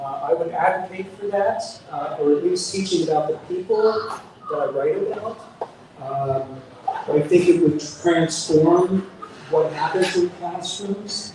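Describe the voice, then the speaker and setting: A man's high-pitched voice at a fairly slow pace, ordinary pitch variation, noticeable background noise. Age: 70s. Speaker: author. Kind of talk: book talk interview. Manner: halting, many fillers.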